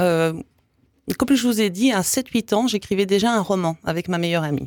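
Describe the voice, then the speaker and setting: On a very clean, dry, close recording with no echo and a silent background, a woman at medium pitch speaks at a moderate pace with lively intonation and long, frequent pauses. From Canada (English Canada and Quebec). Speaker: author. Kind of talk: interview.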